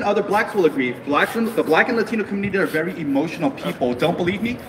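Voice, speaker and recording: The speech runs at a very fast pace with very wide pitch swings. Noticeable background noise sits behind it. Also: man. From US, Korean American raised from infancy. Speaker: rally speaker. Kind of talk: political rally speech. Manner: animated.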